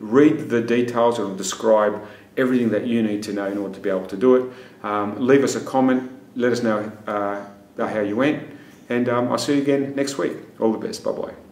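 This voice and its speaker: A man's voice, fairly even in intonation, with audible room echo. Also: fairly quick pace. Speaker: fitness trainer. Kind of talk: casual fitness tutorial intro. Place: gym. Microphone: phone near.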